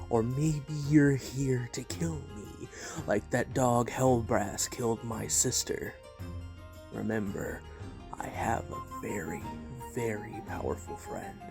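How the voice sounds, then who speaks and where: A low, put-on character voice moves at a fairly slow pace while clear music plays in the background. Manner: menacing, taunting.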